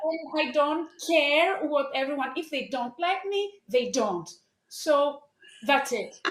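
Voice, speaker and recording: Speaking with a Greek accent, a woman has a high pitch and lively intonation. Her pace is very slow. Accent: Greek accent, non-native English. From Greece. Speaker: life coach. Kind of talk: interview. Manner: halting.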